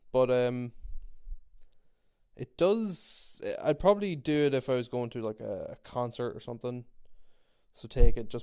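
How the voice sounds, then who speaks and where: Recorded very cleanly against a silent background, a man with an Irish accent speaks in a dark, mellow tone. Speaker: podcast host. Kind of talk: casual monologue. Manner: rambling, repetitive.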